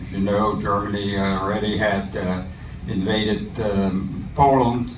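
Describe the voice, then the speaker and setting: A man speaks very slowly in a fairly low voice with ordinary pitch variation. Room echo is audible, and background noise is noticeable. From Netherlands, Amsterdam. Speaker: war veteran. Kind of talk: talk. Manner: halting.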